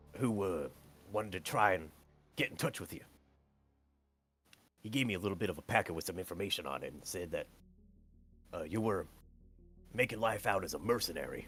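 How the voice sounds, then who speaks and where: A man puts on a raspy character voice at a fairly low pitch. He talks at a fairly quick pace, broken by long, frequent pauses. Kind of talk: profane folksy banter. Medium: actual play. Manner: rambling, crude, self-interrupting.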